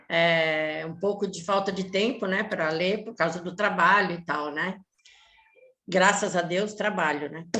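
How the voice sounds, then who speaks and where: A woman speaks fairly slowly at a medium pitch, her tone bright and sharp, her intonation fairly even and her loudness swinging widely. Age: 70s. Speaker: retired publishing worker. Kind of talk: casual chat. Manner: halting.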